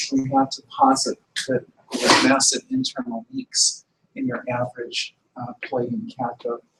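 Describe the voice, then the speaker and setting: This is a man's voice. The sound is dry and close, with no echo. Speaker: lecturer. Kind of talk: lecture. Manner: soft-spoken; halting, many fillers.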